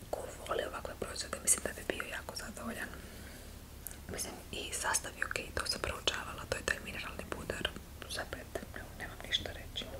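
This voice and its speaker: Over noticeable background noise, a woman whispers in a relaxed tone at a fairly quick pace, with long, frequent pauses. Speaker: ASMR creator. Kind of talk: casual talk to camera about cosmetics. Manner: soft-spoken, relaxed.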